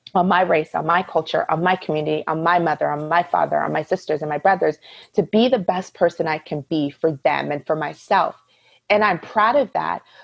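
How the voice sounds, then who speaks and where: Her voice has vocal fry and a fairly low pitch for a woman, with ordinary pitch variation at a fairly quick pace. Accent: American. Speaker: podcast guest. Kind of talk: casual chat. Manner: loud; talkative.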